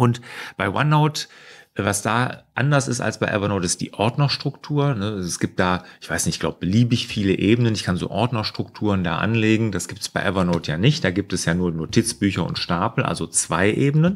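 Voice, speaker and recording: With an unremarkable speaking voice, a man talks at a fairly quick pace, fairly low in pitch, with lively intonation. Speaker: productivity coach. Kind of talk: casual Q&A vlog. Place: office.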